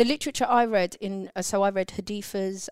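A woman with a London accent speaks at a moderate pace in fairly even intonation, the sound dry and close with no echo. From London, England (born in Turkey). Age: 30s. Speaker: podcast host's sister. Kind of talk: casual chat.

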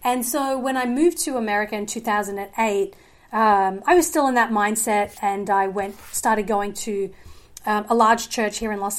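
In an Australian accent, a woman speaks at a moderate pace with a fairly high pitch and ordinary pitch variation. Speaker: filmmaker and journalist. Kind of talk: casual chat.

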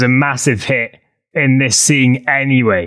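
A man with an ordinary speaking voice, medium-pitched and fairly slow, on a very clean recording with a silent background. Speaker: podcast co-host. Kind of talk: casual podcast interview. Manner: joking, playful.

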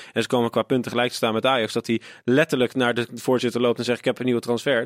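A man's medium-pitched voice at a very fast pace, monotone and flat in intonation, with very even loudness. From Netherlands, Rotterdam. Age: 20s. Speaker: podcaster and football fan. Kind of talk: casual chat.

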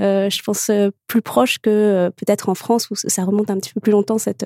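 A fairly quick-paced woman's voice, dry and close with no echo. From Morocco. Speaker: children's author. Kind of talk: panel discussion. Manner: hesitant, laughs often.

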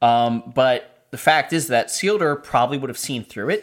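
An unremarkable speaking voice from a man at medium pitch, with lively intonation, on a very clean recording with a silent background. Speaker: podcast host. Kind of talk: casual chat.

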